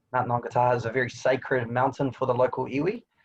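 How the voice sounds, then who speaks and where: A man with a New Zealand accent talks at a very fast pace in a medium, somewhat breathy voice with monotone, flat intonation. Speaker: tourism attraction representative. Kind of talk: webinar presentation.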